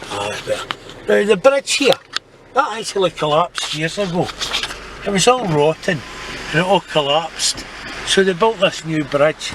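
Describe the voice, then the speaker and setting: High-pitched man's voice in a Scottish accent, with very wide pitch swings, a moderate pace, and long, frequent pauses over noticeable background noise. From Scotland, Renfrewshire. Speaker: former orphanage resident. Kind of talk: casual talk to camera while driving and touring.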